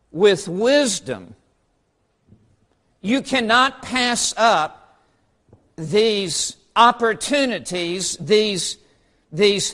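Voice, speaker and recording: At a very slow pace, a man speaks with a high pitch, lively intonation and a bright, sharp tone. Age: 60s. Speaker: preacher. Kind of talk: sermon.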